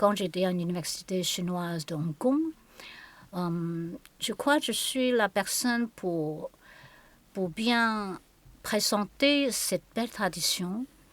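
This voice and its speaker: Speaking very slowly with long, frequent pauses, a woman uses lively intonation. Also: medium pitch for a woman, very clean recording, silent background. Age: 60s. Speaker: qigong and Chinese medicine teacher. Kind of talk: conversational interview. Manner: halting.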